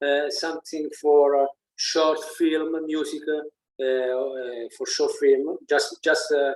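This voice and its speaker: With an Italian accent, a man talks at a very slow pace in a fairly high pitch and monotone, flat intonation. The sound is dry and close with no echo. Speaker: musician. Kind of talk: interview. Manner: halting, many fillers and repeats.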